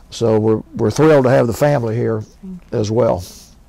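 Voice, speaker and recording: Amid noticeable background noise, a man speaks at a medium pitch with ordinary pitch variation. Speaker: volunteer oral history interviewer. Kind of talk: oral history interview. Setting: recorded interview on camera at a history center. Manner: polite, formal.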